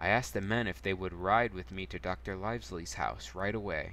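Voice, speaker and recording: With very wide pitch swings, a man with a very deep, low pitch speaks in a bright, sharp tone marked by vocal fry. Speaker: streamer. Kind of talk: reading aloud. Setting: live stream. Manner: soft-spoken.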